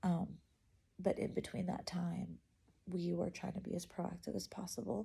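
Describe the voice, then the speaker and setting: A soft-spoken woman. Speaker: vlogger. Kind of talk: casual chat. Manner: halting.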